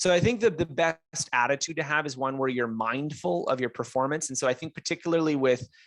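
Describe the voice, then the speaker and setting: A man with a Canadian accent talks at a fairly quick pace in an ordinary speaking voice. His pitch is fairly high, and the sound is dry and close with no echo. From English Canada. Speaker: author and self-learning expert. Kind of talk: interview.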